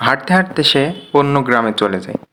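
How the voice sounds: At a fairly quick pace, a man talks at a medium pitch with big pitch swings and a bright, sharp tone.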